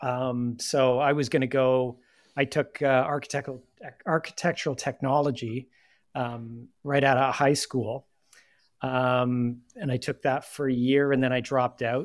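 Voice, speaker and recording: In a very clean recording with a silent background, a man with a Canadian accent speaks fairly slowly at a medium pitch, his intonation flat and monotone. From Canada (Nepean, Ontario), born in UK. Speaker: design leader. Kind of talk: casual chat.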